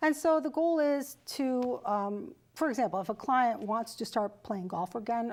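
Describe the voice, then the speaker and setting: Lively in intonation, a woman with a normal speaking voice talks at a moderate pace on a very clean recording with a silent background. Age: 60s. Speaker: fitness and wellness trainer. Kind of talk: interview.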